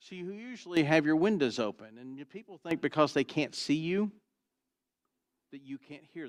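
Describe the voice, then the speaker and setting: With long, frequent pauses, a man speaks at a fairly high pitch with lively intonation and big swings in loudness, the sound dry and close with no echo. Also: moderate pace. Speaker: pastor. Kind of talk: sermon. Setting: church.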